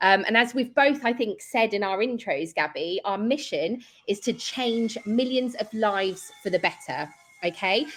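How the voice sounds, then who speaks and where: With a British accent, a woman speaks at a moderate pace. Her pitch is fairly high and her intonation lively. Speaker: event co-host, client success. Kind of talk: virtual panel event hosting. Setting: virtual event online.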